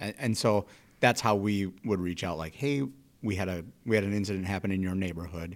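A plain, everyday voice from a man, fairly low in pitch with ordinary variation, at a fairly quick pace. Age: 40s. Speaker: police officer and podcast host. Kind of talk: casual interview chat.

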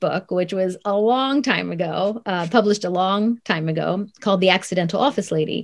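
Speaking at a fairly quick pace, a woman holds a medium pitch with ordinary pitch variation. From US Midwest, Columbus, Ohio. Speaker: author and consultant. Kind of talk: interview.

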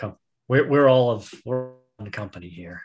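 A man performs a put-on character voice over music in the background. His pitch is medium and his pace moderate. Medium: actual play. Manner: earnest, reverent.

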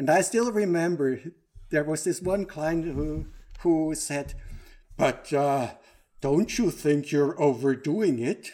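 A dark, mellow voice with a Swiss German accent, a very slow pace, long, frequent pauses and ordinary pitch variation, on a very clean recording with a silent background. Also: man, fairly high pitch for a man. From Switzerland, Lake Zurich. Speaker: operations manager and organizational trainer. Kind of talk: casual interview.

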